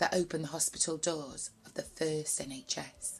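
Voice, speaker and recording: The tone is animated and playful. It comes in a Greater Manchester accent. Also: woman. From Bury, Greater Manchester. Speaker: poet. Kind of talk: spoken word poetry performance. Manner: animated, playful, rhythmic, chatty. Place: home room. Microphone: webcam.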